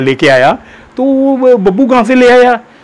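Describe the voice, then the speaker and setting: Amid noticeable background noise, a man speaks at a moderate pace. His extremely high pitch moves with lively intonation. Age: 70s. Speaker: former student paying tribute. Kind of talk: personal anecdote, storytelling. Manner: animated, conversational.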